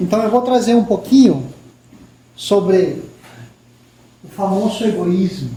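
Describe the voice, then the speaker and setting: With a slight Peruvian accent, a man talks at a fairly slow pace in a high voice with ordinary pitch variation, amid audible room echo and noticeable background noise. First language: Spanish (speaking Portuguese). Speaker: spiritist lecturer, professor. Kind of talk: spiritist lecture.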